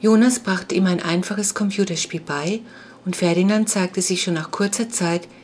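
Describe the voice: The words are read aloud plainly, the intonation staying fairly level.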